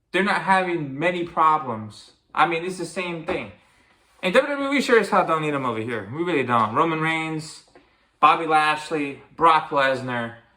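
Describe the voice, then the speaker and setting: The voice is animated and bright, with a sharp tone and lively intonation. It moves at a moderate pace with audible room echo. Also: man, fairly high pitch for a man. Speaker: wrestling commentary youtuber. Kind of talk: opinion rant. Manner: stuttering.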